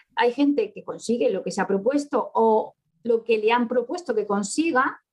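An unremarkable speaking voice from a woman, fairly high in pitch, at a moderate pace. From Spain, Córdoba (Andalusia), born in Barcelona. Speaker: author and economist. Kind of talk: interview.

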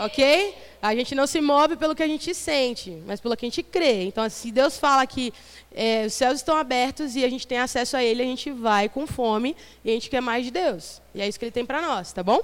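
Her high voice moving at a fairly quick pace, a woman talks with lively intonation. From Brazil, São Vicente (São Paulo coast). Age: 30s. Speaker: missionary preacher. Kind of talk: sermon. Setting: church youth service with audience.

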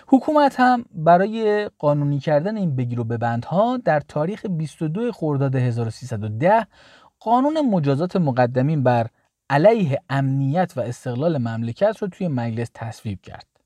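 A dark, mellow tone at a fairly slow pace, with very wide pitch swings and big jumps in loudness, in a dry, close sound with no echo and a quiet background. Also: man, fairly high pitch for a man. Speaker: history podcast host. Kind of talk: scripted narration.

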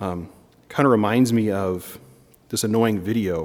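On a very clean recording with a silent background, a man with an American accent speaks at a fairly low pitch. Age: 30s. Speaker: priest. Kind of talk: sermon. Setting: church chapel. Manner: frequent filler ums.

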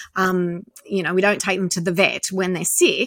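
The recording is very clean, and the background is silent. A woman talks in an Australian accent at a medium pitch. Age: 50s. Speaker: activist. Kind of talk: interview.

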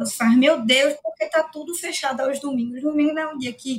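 This woman speaks with ordinary pitch variation. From Brazil, Recife. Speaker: lawyer. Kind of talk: casual interview.

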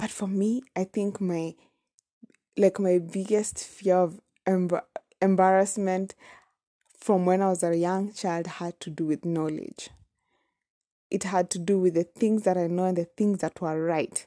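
A woman with a Kenyan accent speaks at a medium pitch with a dark, mellow tone and fairly even intonation, leaving long, frequent pauses. The recording is very clean with a silent background and a dry, close sound with no echo. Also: fairly slow pace. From Kenya, Nairobi. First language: Kamba. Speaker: podcaster. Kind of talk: personal storytelling monologue. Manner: casual, hesitant with fillers.

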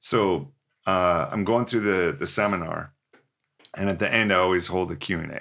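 Over a silent background in a very clean recording, a man speaks fairly slowly with a very deep, low pitch, a bright, sharp tone and ordinary pitch variation. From British Columbia, Canada (Port Alberni). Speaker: professional drummer and motivational speaker. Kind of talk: casual interview.

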